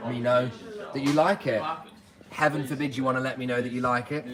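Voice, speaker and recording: Over noticeable background noise, a man with a British accent talks very fast at medium pitch. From UK. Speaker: clothing reseller. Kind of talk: live stream chat. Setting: warehouse workplace. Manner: casual.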